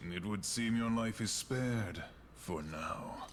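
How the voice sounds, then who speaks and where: A man's put-on character voice, medium in pitch, at a fairly slow pace, over clear background noise. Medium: video game.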